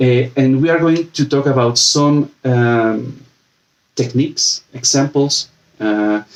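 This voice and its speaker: At a very slow pace, a man of medium pitch talks with fairly even intonation and very even loudness. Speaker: UX design lead giving a talk. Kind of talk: presentation. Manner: halting, many fillers.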